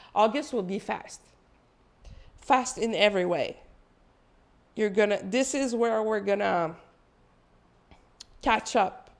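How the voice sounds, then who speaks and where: A woman with a non-native accent speaks at a very slow pace and fairly high pitch, with ordinary pitch variation and long, frequent pauses. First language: not English. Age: 40s. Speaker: spiritual channeler. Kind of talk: spiritual energy update monologue. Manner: casual, conversational with fillers.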